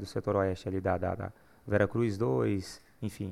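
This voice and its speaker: A man with a plain, everyday voice speaks at a fairly slow pace, his fairly low pitch carrying lively intonation. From Goiás, Brazil (Uruaçu). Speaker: gospel singer. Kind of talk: casual chat.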